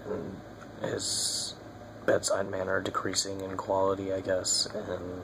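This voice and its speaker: Quiet and monotone, a man speaks at a very deep, low pitch with flat intonation. Noticeable background noise and audible room echo fill the recording. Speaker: video blogger. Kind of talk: casual vlog update. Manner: hesitant, many fillers.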